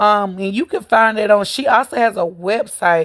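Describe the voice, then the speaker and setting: The speaker here is a woman. She talks in a medium pitch. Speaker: vlogger. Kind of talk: casual chat. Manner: casual, hesitant with fillers.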